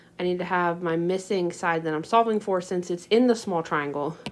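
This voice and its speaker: A woman talks at a moderate pace with a fairly low pitch and ordinary pitch variation. Noticeable background noise can be heard. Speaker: math teacher. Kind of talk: tutorial. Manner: casual with many fillers.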